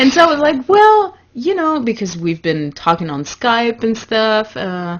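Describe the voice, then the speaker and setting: A woman speaks at a fairly slow pace with a fairly high pitch. Her pitch swings very widely. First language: not English. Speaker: podcast co-host and community founder. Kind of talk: casual chat. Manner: halting, searching for words.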